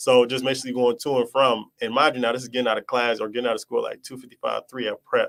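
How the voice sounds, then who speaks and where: Recorded dry and close with no echo, a man talks very fast with hardly any pauses. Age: 20s. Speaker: young entrepreneur. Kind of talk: interview. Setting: live stream. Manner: animated.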